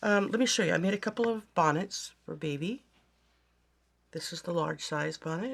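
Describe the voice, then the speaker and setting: At a medium pitch, a woman speaks with vocal fry at a moderate pace, leaving long, frequent pauses. The recording is very clean, with a silent background. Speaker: crafting YouTuber. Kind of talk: casual show-and-tell vlog. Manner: hesitant, many fillers.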